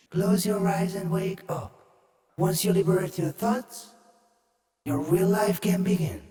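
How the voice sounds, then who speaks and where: A robotic put-on character voice sits at a middle pitch, with a clear echo. It moves at a fairly slow pace, with long, frequent pauses. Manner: eerie.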